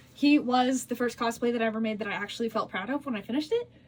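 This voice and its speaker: Against noticeable background noise, a woman speaks very fast at a high pitch. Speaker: cosplay content creator. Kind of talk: casual Q&A vlog. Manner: rambling, filler-heavy.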